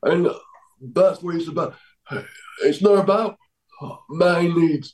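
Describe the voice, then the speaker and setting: Speaking with a South Yorkshire accent, a man uses a high pitch and fairly even intonation. He goes at a very slow pace. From Doncaster, England. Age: 30s. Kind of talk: casual interview chat. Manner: halting, repetitive phrasing.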